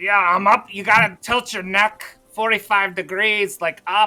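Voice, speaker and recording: This is a put-on character voice, fairly high in pitch. It moves at a moderate pace with monotone, flat intonation. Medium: actual play. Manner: stammering, hesitant.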